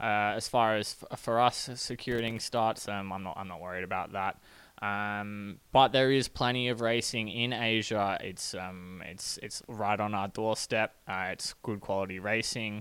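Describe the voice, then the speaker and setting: Speaking fairly slowly with fairly even intonation, a man with an Australian accent uses a fairly low pitch in a very clean recording with a silent background. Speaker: professional cyclist. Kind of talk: interview.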